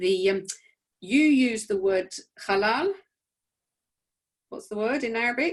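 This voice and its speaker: With a British accent, a woman speaks fairly slowly, leaving long, frequent pauses. Her fairly high voice carries lively intonation. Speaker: rabbi. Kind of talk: casual chat. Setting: video call. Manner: loud.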